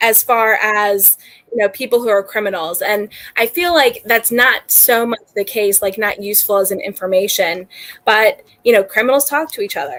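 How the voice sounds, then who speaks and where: A woman talks at a moderate pace in a normal speaking voice with a fairly high pitch. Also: ordinary pitch variation. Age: 30s. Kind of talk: casual chat.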